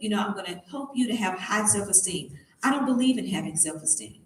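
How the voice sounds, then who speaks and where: Her speech moves at a fairly quick pace with lively intonation and a medium pitch. Audible room echo and noticeable background noise surround this woman's voice. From Tennessee. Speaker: motivational speaker, beauty queen. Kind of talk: motivational talk to students.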